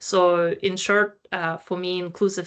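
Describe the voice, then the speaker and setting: This is an unremarkable speaking voice at a fairly slow pace. The background is quiet. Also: woman. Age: 30s. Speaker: employment researcher. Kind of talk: panel discussion.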